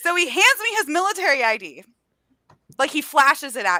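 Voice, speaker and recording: Raising and projecting her voice, a woman speaks in a bright, sharp, animated tone with very wide pitch swings. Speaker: book youtuber. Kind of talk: casual chat. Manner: loud.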